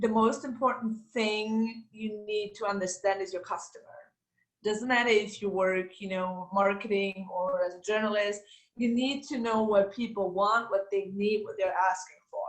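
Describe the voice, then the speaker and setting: A woman at medium pitch with a German accent, moderate pace and fairly even intonation. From Austria. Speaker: former master's student, ex-TV journalist. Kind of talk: interview Q&A.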